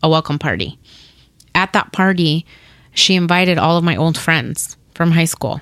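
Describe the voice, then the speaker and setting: A woman speaks with a Spanish accent at a fairly slow pace. Her intonation stays fairly even. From Paraguay. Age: 30s. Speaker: domestic violence survivor sharing her story. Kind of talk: personal story interview, testimony. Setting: studio.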